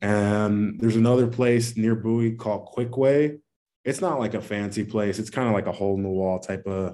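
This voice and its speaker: With an American accent, a man speaks at a moderate pace in a dark, mellow tone, fairly low in pitch. His intonation is fairly even, and the recording is very clean with a silent background. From Maryland, US (DMV area). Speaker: college football player, NFL draft prospect. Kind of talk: interview.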